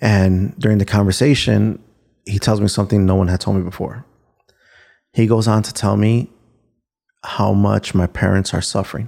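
A man with a fairly low pitch talks at a moderate pace, his intonation fairly even. He leaves long, frequent pauses. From Chicago, Little Village (Mexican-American west side). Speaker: former prisoner, justice reform advocate. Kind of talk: personal testimony interview. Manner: halting with frequent ums.

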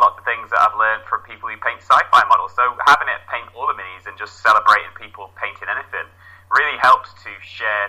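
A man at a fairly quick pace. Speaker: hobby podcaster and community organizer. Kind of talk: casual interview chat. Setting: remote call.

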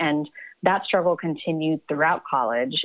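A woman with an American accent and a very deep, low pitch speaks at a moderate pace. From US South, Atlanta. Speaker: psychiatrist and novelist. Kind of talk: interview.

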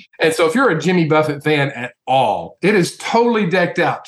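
With a Tennessee accent, a man speaks at a fairly quick pace with lively intonation. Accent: Southern US, Tennessee. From Nashville, Tennessee. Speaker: mortgage company executive. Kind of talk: casual promotional chat.

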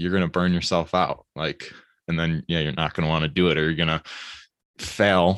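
A man speaks in a very deep, low voice with an American accent, monotone and flat in intonation. The pace is moderate and the sound is dry and close with no echo. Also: very clean recording, silent background. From Michigan. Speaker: podcast host. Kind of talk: casual interview chat.

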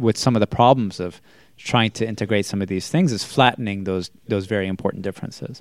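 A man with a Boston accent, fairly low in pitch, very fast, with fairly even intonation, on a very clean recording with a silent background. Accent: American (Boston area). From Massachusetts, US. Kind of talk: casual chat.

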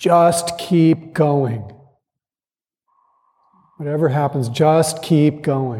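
A booming, put-on character voice moves at a very slow pace. Long pauses break it up often. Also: man, fairly high pitch for a man.

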